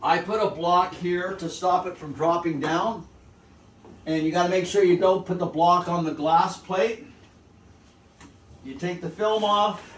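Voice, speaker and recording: With noticeable background noise behind him, a man speaks at a fairly slow pace and high pitch, with fairly even intonation and long, frequent pauses. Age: 70s. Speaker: photographic printer demonstrating gum bichromate printing. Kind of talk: tutorial. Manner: casual, repetitive phrasing.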